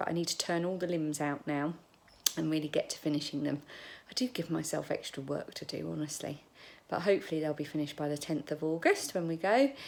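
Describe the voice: In a put-on character voice, a woman talks at a very fast pace with a raspy, very deep, low pitch.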